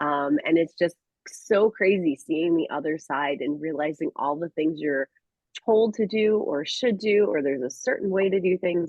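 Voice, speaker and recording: A woman speaks in a plain, everyday voice at a fairly low pitch. Her lively intonation moves at a moderate pace. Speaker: sales trainee. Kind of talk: casual chat.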